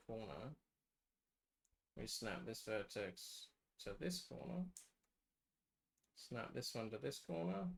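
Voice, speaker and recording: Soft-spoken and at a fairly slow pace, a man uses a medium pitch with very wide pitch swings and long, frequent pauses. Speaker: game map developer streamer. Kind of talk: live stream tutorial.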